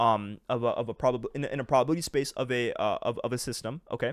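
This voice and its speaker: A man with medium pitch speaks in an energetic tone at a very fast pace. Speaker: trading educator, YouTuber. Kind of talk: tutorial explaining charts. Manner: energetic, casual; halting, stuttering, many fillers.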